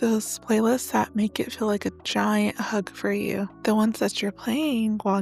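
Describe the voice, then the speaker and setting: A soft-spoken woman at a moderate pace, with music in the background. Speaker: podcast host. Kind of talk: casual monologue. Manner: rambling, chatty.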